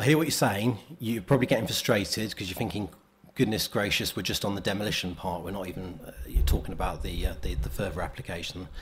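A somewhat breathy man talking at a very fast pace over light background noise. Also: fairly low pitch for a man, lively intonation. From England. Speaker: local councillor. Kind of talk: council meeting questioning. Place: meeting room.

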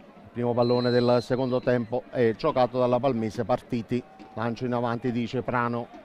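A man at medium pitch amid noticeable background noise. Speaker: football commentator. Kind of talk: live match commentary, rapid play-by-play over highlights. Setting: stadium.

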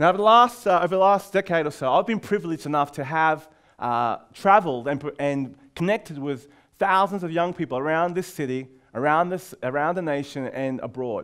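A man speaks at a fairly quick clip with an Australian accent. His intonation is lively. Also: quiet background. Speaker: youth leader and speaker. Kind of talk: conference talk. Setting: stage with audience. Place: classroom. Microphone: headset.

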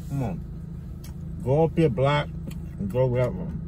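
With noticeable background noise but a dry sound with no echo, a man with an American accent talks at a fairly slow pace. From New York. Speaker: YouTuber, food vlogger. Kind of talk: mukbang eating vlog. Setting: outdoors. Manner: casual, animated. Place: car. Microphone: phone near.

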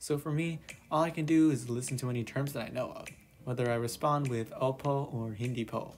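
Speaking at a fairly quick pace, a man with an ordinary speaking voice keeps a medium pitch and fairly even intonation. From Canada. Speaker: YouTuber. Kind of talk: personal vlog narration.

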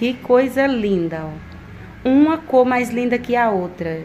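A very slow pace with lively intonation over light background noise. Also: woman. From Alagoas, northeast Brazil. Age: 30s. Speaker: family vlogger. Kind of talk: casual vlog talk to camera. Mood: delighted, warm. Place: home room. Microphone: phone near.

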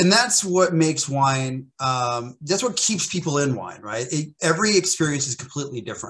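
This American-accented voice moves at a moderate pace with lively intonation and hardly any pauses. The background is quiet. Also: man, fairly high pitch for a man. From US, central Oklahoma. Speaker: sommelier and wine educator; wine educator. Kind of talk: casual interview chat. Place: home room. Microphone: video call.

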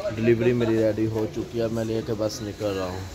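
Against noticeable background noise, a man talks fairly slowly in a fairly low, flat monotone. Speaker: travel vlogger. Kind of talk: casual vlog chat. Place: market. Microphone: phone near.

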